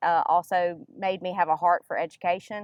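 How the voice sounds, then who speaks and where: A woman talks in a Mississippi accent at a medium pitch. Her pace is fairly quick. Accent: Southern US (Mississippi). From US South, northern Mississippi. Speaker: nonprofit education director. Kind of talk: interview.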